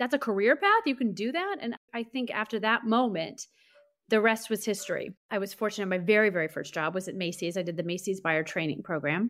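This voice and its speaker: Lively intonation marks a woman's unremarkable speaking voice with an American accent. She talks at a fairly quick pace and a medium pitch. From US Midwest, St. Louis, Missouri. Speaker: beauty brand marketing executive. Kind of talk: interview conversation.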